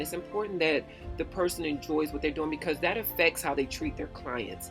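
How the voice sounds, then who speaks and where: With music in the background, a woman speaks at a fairly quick pace in a very deep, low voice. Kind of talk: casual talk to camera.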